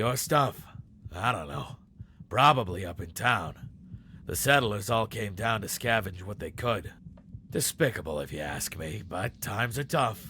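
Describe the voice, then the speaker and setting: A put-on character voice is used here, raspy in tone. The pace stays moderate. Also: man, fairly low pitch for a man. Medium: video game. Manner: calm, kindly.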